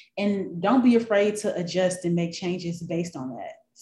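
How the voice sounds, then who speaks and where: A woman talks at a moderate pace in a dark, mellow tone, medium in pitch and somewhat breathy, with ordinary pitch variation. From US South, Memphis, Tennessee. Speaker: newspaper newsletter coach. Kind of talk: interview.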